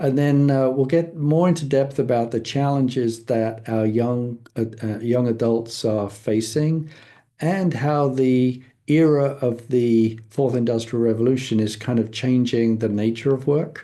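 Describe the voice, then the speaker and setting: A man with a London accent speaks at medium pitch in a dark, mellow tone. His pace is fairly slow, his loudness very even and his pitch variation ordinary. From England, London. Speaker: foundation leader, guest speaker. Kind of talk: presentation. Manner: halting, many fillers.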